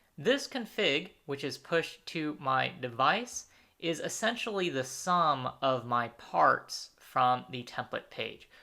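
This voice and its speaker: On a very clean recording with a silent background, a bright, sharp voice with vocal fry and lively intonation moves at a very slow pace with hardly any pauses. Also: man, fairly high pitch for a man. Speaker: software trainer. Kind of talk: tutorial.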